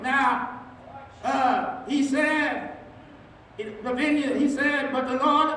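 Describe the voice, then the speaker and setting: Very slow speech with audible room echo and light background noise. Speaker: senior pastor. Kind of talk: sermon. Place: church.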